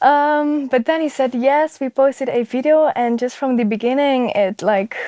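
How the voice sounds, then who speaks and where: Dry and close with no echo, a woman's high-pitched voice carries a dark, mellow tone and a Flemish accent. She keeps a moderate pace with ordinary pitch variation. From Flanders, Belgium. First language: Dutch (Flemish). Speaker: ASMR content creator. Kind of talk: interview. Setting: studio.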